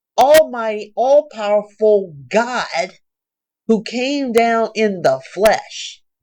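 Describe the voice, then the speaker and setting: A woman speaks in a high-pitched voice. Her pace is very slow. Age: 60s. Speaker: Bible reading vlogger. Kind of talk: Bible reading with commentary. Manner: casual, conversational.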